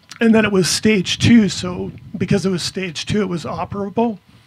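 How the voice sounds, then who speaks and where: A man is speaking. His pace is moderate and his pitch variation ordinary. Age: 60s. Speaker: cancer patient sharing testimony. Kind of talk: testimony. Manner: soft-spoken.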